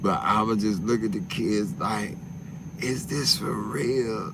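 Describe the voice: A man's slow, fairly low voice with vocal fry and ordinary pitch variation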